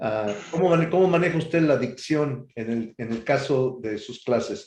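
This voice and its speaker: A man speaks at a fairly slow pace in a plain, everyday voice, with ordinary pitch variation. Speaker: radio interviewer and host. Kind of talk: radio interview host.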